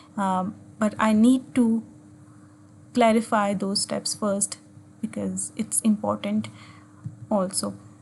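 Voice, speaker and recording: A woman at a very slow pace, with long, frequent pauses. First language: Urdu or Hindi. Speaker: physics teacher. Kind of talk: tutorial. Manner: halting, with frequent fillers.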